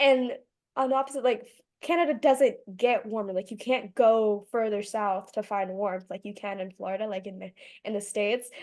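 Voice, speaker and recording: Against a quiet background, a woman with an unremarkable speaking voice and an American accent talks at a moderate pace. Her fairly high pitch shows ordinary variation while her loudness swings widely. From Michigan. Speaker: podcast host. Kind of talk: casual interview.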